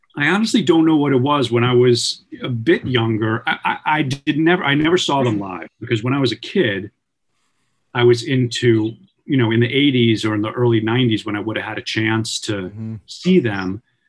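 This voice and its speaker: A man with an American accent, a normal speaking voice, medium pitch, ordinary pitch variation and a moderate pace. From Long Island, New York. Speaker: musician, band leader. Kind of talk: interview.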